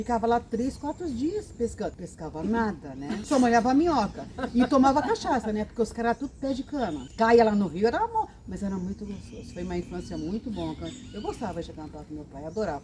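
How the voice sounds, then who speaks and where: A woman with a fairly high pitch talks at a fairly quick pace, her pitch swinging very widely and her loudness rising and falling a lot over noticeable background noise. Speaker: grandmother storyteller on a chat channel. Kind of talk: casual group chat. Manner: animated.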